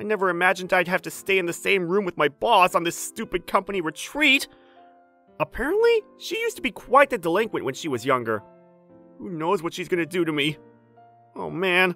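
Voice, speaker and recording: In a put-on character voice, a man speaks high, nervous and whiny, with lively intonation at a fairly quick pace. Faint music plays in the background. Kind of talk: anime dub acting. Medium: cartoon. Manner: nervous, whiny, panicky.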